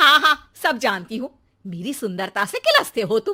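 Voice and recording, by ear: A woman's put-on character voice, bright and sharp, with big pitch swings at a moderate pace, in a very clean recording with a silent background. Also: fairly high pitch for a woman.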